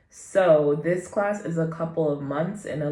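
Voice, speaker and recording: A woman speaks in a very deep, low pitch with ordinary pitch variation. Her voice carries audible room echo. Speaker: vlogger and beginner actor. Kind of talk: casual vlog chat.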